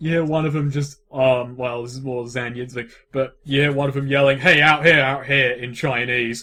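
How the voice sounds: What you hear is a natural reading voice.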